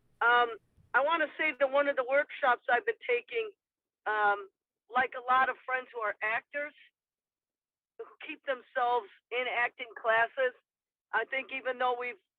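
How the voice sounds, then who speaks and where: Speaking with a Midwestern accent, a woman uses a high pitch with ordinary variation at a moderate pace. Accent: Midwest American. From Michigan, US Midwest. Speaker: poet. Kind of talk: panel discussion.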